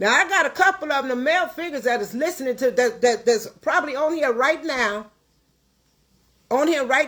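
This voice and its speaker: Projecting her voice, a high-pitched woman speaks in an animated tone with lively intonation at a fairly quick pace. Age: 60s. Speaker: livestream host, caterer. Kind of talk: livestream rant. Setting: at home.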